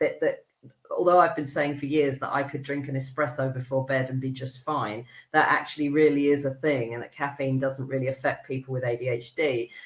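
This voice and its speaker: In a British accent, a woman talks at a fairly quick pace with a very deep, low pitch. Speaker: HR consultant. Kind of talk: podcast interview. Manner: fast; animated.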